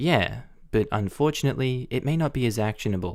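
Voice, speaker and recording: A male voice with an Australian accent on a very clean recording with a silent background. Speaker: Reddit story narrator. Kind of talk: Reddit post reading.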